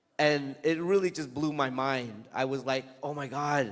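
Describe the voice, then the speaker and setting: Speaking with a Vietnamese accent, a man goes at a fairly slow pace with fairly even intonation. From Vietnam, moved to US as a child. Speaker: comic book author. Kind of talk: Q&A talk to students. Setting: school event with student audience. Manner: casual, hesitant with fillers.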